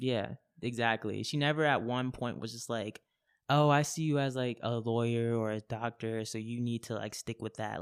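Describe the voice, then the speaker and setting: Medium-pitched male speech with an American accent, a normal speaking voice with ordinary pitch variation, on a very clean recording over a silent background. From Japan and Florida. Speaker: slam poet. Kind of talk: interview answer. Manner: casual.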